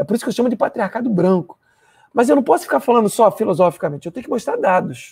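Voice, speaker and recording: Against a quiet background, a man talks at a very fast pace in a high voice with very wide pitch swings. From Rio de Janeiro, Baixada Fluminense; Rio de Janeiro. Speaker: university professor. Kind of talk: lecture. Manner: hesitant fillers, frequent né. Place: home room. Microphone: lapel.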